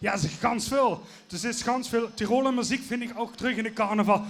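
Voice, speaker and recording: A man talks at a moderate pace with an extremely high pitch and ordinary pitch variation. Noticeable background noise is present. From Limburg, Netherlands. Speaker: Tyrolean music singer. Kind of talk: interview.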